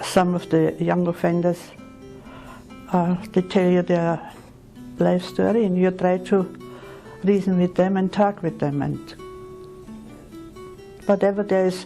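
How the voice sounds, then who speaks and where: A woman's fairly slow speech with fairly even intonation, music playing in the background. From Austria. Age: 80s+. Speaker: retired nurse. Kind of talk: interview answer.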